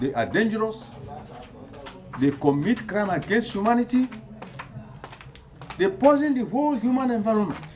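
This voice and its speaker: There is noticeable background noise. Through it, a man speaks in a high voice. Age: 80s+. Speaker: community elder and activist. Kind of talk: public appeal. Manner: halting.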